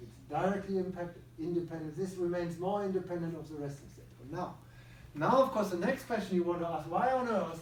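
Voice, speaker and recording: A man with a German accent talks at a fairly quick pace and a high pitch with lively intonation, amid noticeable background noise and audible room echo. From Germany. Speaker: psychiatrist and neuroscience researcher. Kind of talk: lecture.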